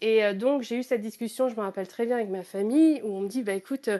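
The speaker is a woman with a fairly high pitch and an ordinary speaking voice. She keeps a moderate pace with ordinary pitch variation. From Normandy, France. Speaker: crypto-artist. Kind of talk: interview. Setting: live audio chat room.

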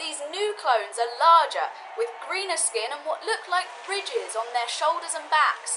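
Raised and projected, a woman's extremely high voice swings very widely in pitch at a fairly slow pace with hardly any pauses, against noticeable background noise. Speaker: comedic field reporter character. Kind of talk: mock news report.

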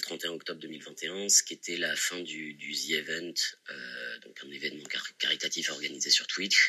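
A man at a moderate pace. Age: 20s. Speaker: patient sharing testimony. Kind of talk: testimony. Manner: halting, many repeated words.

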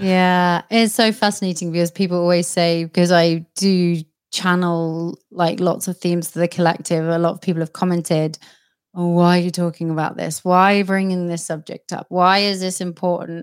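A woman with a British accent speaks at a moderate pace in a fairly low pitch, her intonation monotone and flat. The recording is very clean, with a silent background and a dry, close sound without echo. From Britain. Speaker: psychic medium and podcast host. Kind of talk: casual interview.

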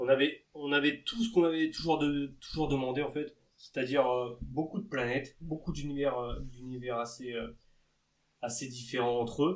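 With an ordinary speaking voice, a man speaks at a moderate pace in a fairly high pitch, using ordinary pitch variation. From Normandy, France. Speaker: podcast host. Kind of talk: casual chat.

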